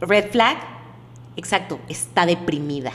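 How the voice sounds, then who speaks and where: Very slow pace with lively intonation. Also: woman. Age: 30s. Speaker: psychologist. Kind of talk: casual chat.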